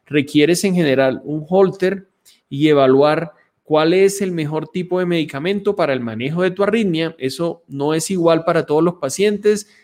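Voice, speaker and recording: Pitched high, a man speaks at a moderate pace. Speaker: pulmonologist doctor. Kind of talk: live medical Q&A stream.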